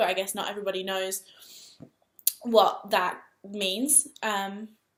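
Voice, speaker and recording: A woman's medium-pitched, flat monotone in an English accent. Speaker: vlogger. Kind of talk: personal vlog storytelling. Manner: fast.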